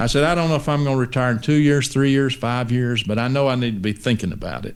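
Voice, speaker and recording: A man with a Texan accent, medium pitch, ordinary pitch variation and a very fast pace. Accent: Texan Southern US. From East Texas, US. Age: 60s. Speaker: pastor. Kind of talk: interview conversation.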